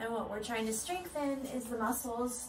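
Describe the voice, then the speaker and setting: A woman at a moderate pace with fairly even intonation, against audible room echo and clear music in the background. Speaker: exercise instructor. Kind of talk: tutorial. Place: home room. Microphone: camera far.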